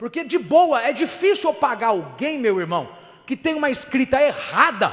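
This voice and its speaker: In an animated tone, a man talks at a moderate pace with an extremely high pitch and very wide pitch swings. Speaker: pastor. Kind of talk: sermon.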